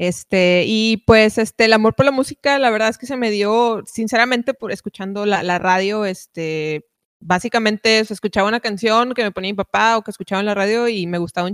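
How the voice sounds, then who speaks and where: An unremarkable speaking voice with hardly any pauses and fairly even intonation, in a dry, close sound with no echo. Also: woman. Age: 20s. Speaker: rock musician. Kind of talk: casual chat.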